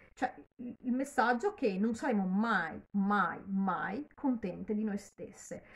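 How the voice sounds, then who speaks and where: A woman speaks at a very slow pace in a fairly high pitch. Her voice is somewhat breathy, with ordinary pitch variation. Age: 50s. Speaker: YouTuber. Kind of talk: casual vlog commentary. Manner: halting, with repetitions. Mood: earnest, critical, somewhat animated. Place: home room. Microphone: phone near.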